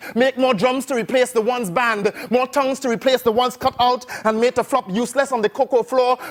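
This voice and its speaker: Extremely high-pitched for a man, this voice runs at a very fast pace with hardly any pauses, very even loudness, and fairly even intonation. The sound is dry and close with no echo, over noticeable background noise. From Trinidad. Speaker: spoken word poet. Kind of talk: performance poetry.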